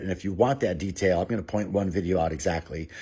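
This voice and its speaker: On a very clean recording with a silent background, a man with an American accent speaks in a very deep, low, somewhat breathy voice. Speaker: former city alderman. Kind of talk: direct-to-camera commentary. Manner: fast.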